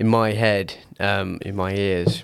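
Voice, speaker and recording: A man speaks at a very slow pace with a British accent. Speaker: podcast host. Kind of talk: casual chat.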